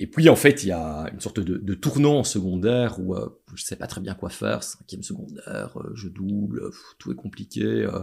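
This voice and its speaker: Speaking at a moderate pace, a man with a fairly low, fry-edged voice swings very widely in pitch and shows big swings in loudness. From Belgium, Châtelet (Charleroi area). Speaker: city chief architect. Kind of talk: interview. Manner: halting, many fillers and repetitions.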